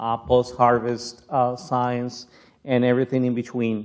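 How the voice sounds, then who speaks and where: Speaking with a Spanish accent, a man holds a medium pitch at a fairly slow pace. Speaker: plant scientist. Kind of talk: keynote lecture. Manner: halting, many fillers.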